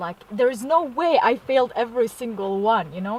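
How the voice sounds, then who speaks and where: The speaker has a non-native accent and talks at a moderate pace. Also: woman. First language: not English. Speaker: vlogger. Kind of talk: casual vlog. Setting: in a car. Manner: casual, hesitant with fillers.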